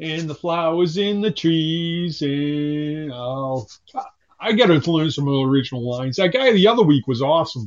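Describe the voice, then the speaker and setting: A man with an ordinary speaking voice talks at a moderate pace, his fairly high pitch moving in a lively intonation. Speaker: caller. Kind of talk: casual chat. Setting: phone call.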